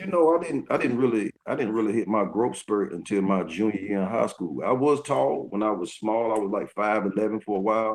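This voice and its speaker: With a Southern US accent, a man speaks in a fairly low pitch with lively intonation. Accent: US South. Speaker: retired basketball player. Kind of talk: interview. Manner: halting.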